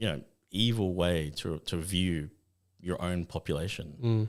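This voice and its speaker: In an Australian accent, a man talks with a very deep, low pitch and ordinary pitch variation. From Western Australia. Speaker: photographer and film director. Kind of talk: interview answer.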